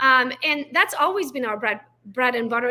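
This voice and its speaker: A woman's raised, projected voice, high and bright with a sharp tone, fairly quick, with ordinary pitch variation. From Romania, Transylvania (Hungarian). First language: Hungarian. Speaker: real estate agent. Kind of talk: podcast interview. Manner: animated.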